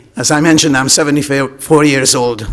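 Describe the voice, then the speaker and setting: Noticeable background noise accompanies this recording. A man speaks at a moderate pace and a fairly high pitch. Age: 70s. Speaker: taxi industry deputant. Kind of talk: public deputation at committee. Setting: council chamber. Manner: animated.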